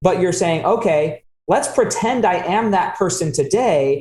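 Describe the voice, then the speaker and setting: Talking at a fairly slow pace, a man with an American accent uses a high pitch. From Utah, US. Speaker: podcast host. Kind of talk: interview conversation.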